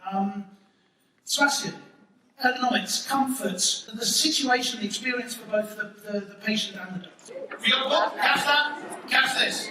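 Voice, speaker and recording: Pitched extremely high for a man, his raised, projected voice swings widely in loudness and breaks into long, frequent pauses. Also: ordinary pitch variation, moderate pace. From Britain. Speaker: moderator and presenter. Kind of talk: event moderation. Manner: playful, joking.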